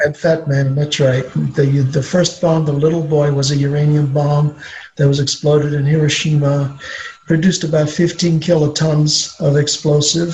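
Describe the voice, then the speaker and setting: Speaking at a moderate pace, a man uses a fairly high pitch with monotone, flat intonation and very even loudness. Noticeable background noise runs underneath. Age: 60s. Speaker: retired nuclear power industry expert. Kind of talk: Q&A interview with students. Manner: halting, many fillers.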